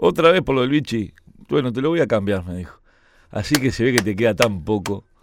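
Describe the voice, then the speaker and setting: An animated man talks at a fairly quick pace, his pitch swinging very widely. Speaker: sports radio host. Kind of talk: casual chat.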